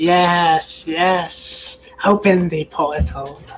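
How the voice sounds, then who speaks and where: A man's put-on character voice, high-pitched for a man, with hissing. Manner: eager.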